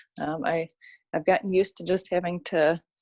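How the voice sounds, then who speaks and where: At a fairly quick pace, a woman talks with a fairly low pitch and fairly even intonation. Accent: Chicago. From Chicago, US Midwest. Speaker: orthodontist, podcast co-host. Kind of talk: podcast chat.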